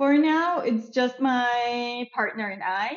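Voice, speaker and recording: At a very slow pace, a woman speaks in a high voice. Her pitch variation is ordinary. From Germany. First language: German. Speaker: tourism entrepreneur. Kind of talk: casual interview chat.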